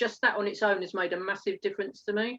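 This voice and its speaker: A woman speaks at a medium pitch with an Essex accent. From England, Essex. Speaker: network marketer. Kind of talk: interview. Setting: live stream.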